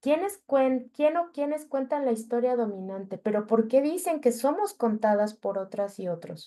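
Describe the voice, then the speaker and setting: A woman talks at a moderate pace with hardly any pauses, her high pitch swinging very widely. Her tone is dark and mellow. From Mexico City. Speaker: journalist. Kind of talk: workshop talk.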